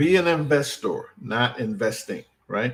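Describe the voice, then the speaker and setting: With an American accent, a man talks at a fairly slow pace in a somewhat breathy voice with lively intonation. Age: 60s. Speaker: financial educator. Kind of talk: live stream talk. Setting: live stream. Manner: casual, repeated 'right?' tags.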